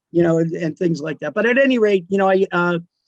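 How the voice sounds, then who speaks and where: Talking at a fairly quick pace, a man with a high pitch comes through in a dry, close sound with no echo. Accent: New Jersey. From New Jersey, South Amboy. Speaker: radio DJ. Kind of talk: casual chat. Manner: halting.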